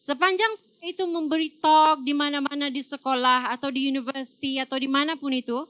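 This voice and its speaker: The woman's pitch is high. It shows ordinary pitch variation. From Malaysia. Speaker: doctor. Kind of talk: talk to audience. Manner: code-switching with fillers.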